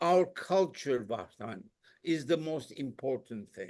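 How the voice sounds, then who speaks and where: A man with a fairly high pitch and vocal fry speaks at a very slow pace with lively intonation. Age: 80s+. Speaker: concert pianist. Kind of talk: interview. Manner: halting.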